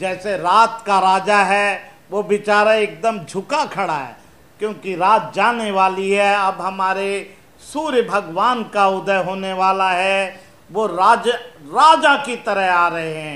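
A man projects a raised voice with a bright, sharp tone, speaking very slowly with ordinary pitch variation. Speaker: presenter. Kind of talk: explanatory talk to children. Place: studio.

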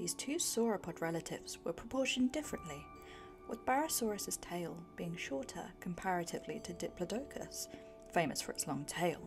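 Over background music, a soft-spoken woman talks at a fairly quick pace in a calm tone. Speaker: author reading her own self-published book. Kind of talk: ASMR book reading. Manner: soft-spoken, calm.

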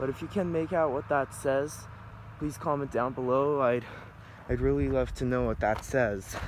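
The man talks at a moderate pace with ordinary pitch variation. The sound is dry with no echo, over light background noise. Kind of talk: casual tour commentary. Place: street. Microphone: phone near.

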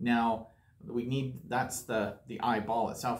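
At a fairly slow pace, a man talks in a medium pitch.

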